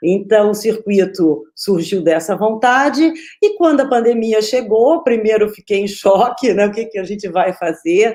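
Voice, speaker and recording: Lively intonation in a dark, mellow tone at a fairly slow pace, with hardly any pauses. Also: woman, fairly high pitch for a woman. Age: 40s. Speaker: children's film festival organizer and moderator. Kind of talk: opening remarks of an online panel.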